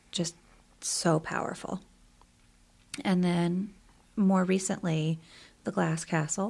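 A woman with an American accent speaks at a very slow pace, leaving long, frequent pauses. Her voice is somewhat breathy and fairly low in pitch, with fairly even intonation. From US South, Columbia, South Carolina. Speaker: high school English teacher. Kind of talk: casual interview. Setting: studio basement.

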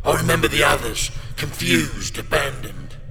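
A man speaks slowly in a put-on character voice, at a fairly slow pace. Clear background noise can be heard. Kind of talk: horror audio drama. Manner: accusing, bitter, menacing.

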